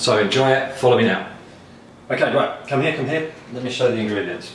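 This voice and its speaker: Amid noticeable background noise and audible room echo, a man with a British accent talks fairly quickly at a medium pitch. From Britain. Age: 40s. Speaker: food blogger and home cook. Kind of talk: casual cooking video presentation. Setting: home kitchen.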